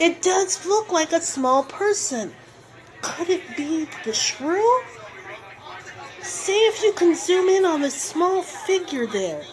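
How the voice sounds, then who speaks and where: Using a put-on character voice at an extremely high pitch, a woman talks fairly slowly with lively intonation and long, frequent pauses over clear background noise. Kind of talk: on-scene news report.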